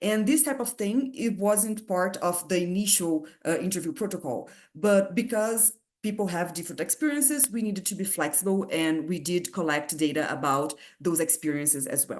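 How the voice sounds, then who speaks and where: At a moderate pace, a woman with a strong non-native accent speaks with very wide pitch swings. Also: medium pitch for a woman. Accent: heavy foreign. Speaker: physics researcher. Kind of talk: lecture. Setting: video call. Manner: halting.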